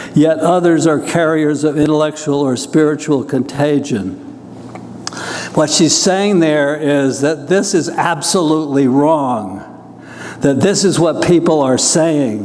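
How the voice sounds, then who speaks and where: Audible room echo and noticeable background noise surround a man's fairly high voice. He speaks at a fairly slow pace with ordinary pitch variation and very even loudness. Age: 80s+. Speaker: professor and poet. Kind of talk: lecture. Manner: conversational, slightly halting.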